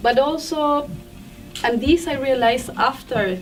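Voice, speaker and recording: A woman speaks in a Spanish accent with music in the background. Room echo is audible. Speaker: film director. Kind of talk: festival Q&A. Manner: halting.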